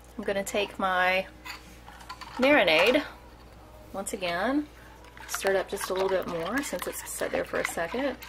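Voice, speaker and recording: Her intonation is lively, the woman pausing long and often against noticeable background noise. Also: medium pitch for a woman, moderate pace. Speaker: cooking vlogger. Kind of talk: cooking tutorial. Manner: halting, stumbling over words; casual, chatty.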